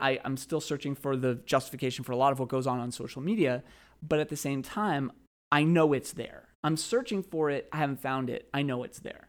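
Heard on a very clean recording with a silent background, a plain, everyday voice moves at a fairly quick pace with ordinary pitch variation. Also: man. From Boston area, Massachusetts. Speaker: high school English teacher. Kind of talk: casual chat. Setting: school teachers' lounge.

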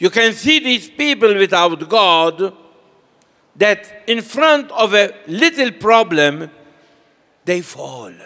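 A high-pitched man projects a raised voice with a bright, sharp tone and very wide pitch swings. He speaks at a very slow pace with long, frequent pauses. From Malta. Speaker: priest. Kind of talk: sermon. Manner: short phrases paused for interpreter.

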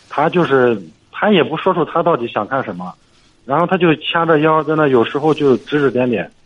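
The man speaks with lively intonation. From Shandong, Jinan area. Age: 30s. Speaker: caller. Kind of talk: call-in advice. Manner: halting.

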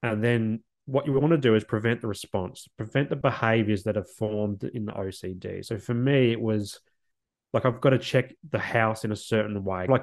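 Here a man speaks with an Australian accent at a medium pitch. His pace is fairly quick and his intonation fairly even. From South Australia, northern suburbs of Adelaide. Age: 30s. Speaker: social worker and podcast host. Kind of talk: interview conversation. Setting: remote call.

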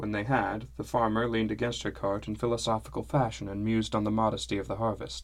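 This is an unforced reading voice. The delivery stays an unforced reading voice throughout.

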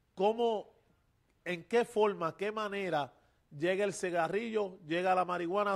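This man speaks at a fairly slow pace with a high pitch and ordinary pitch variation. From Puerto Rico, Loíza. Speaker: pastor and podcast host. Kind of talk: religious interview. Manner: halting, many fillers.

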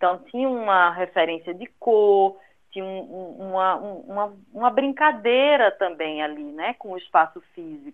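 Talking at a fairly slow pace, a woman with a Recife accent and medium pitch shows lively intonation and big swings in loudness. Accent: northeastern Brazilian (Recife) accent kept. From Recife, northeastern Brazil. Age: 40s. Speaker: graphic designer. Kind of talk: interview. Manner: talkative, animated.

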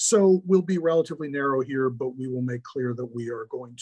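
A man with an American accent speaks at a fairly quick pace, his fairly even intonation carried on a somewhat breathy voice. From US Midwest, Milwaukee, Wisconsin. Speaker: law professor. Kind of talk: interview.

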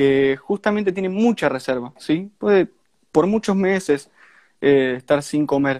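A man with an Argentine accent and ordinary pitch variation, the sound dry and close with no echo. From Argentina, Santa Fe. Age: young. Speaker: ant keeper. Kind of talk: casual chat.

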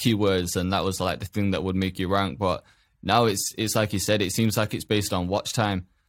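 In a very clean recording with a silent background, a man with an ordinary speaking voice talks at a fairly quick pace, his fairly low pitch following fairly even intonation. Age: 20s. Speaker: podcast host. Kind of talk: casual chat interview.

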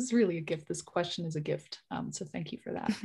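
Against a quiet background, a woman speaks with a fairly low pitch and a somewhat breathy voice. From Germany, Bavaria. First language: German. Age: 30s. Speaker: digital wellness consultant and researcher. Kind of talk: interview.

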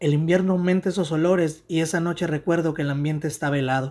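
A man's normal speaking voice, fairly quick and fairly even in intonation, on a very clean recording with a silent background. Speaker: writer. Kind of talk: reading aloud.

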